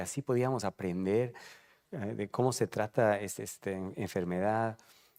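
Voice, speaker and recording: A man with a fairly low voice talks at a moderate pace, the sound dry and close with no echo. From Peru, then England from age 13. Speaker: retired oncologist, patient advocacy medical director. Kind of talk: panel discussion at a live event. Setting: event venue with live audience. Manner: halting, many fillers.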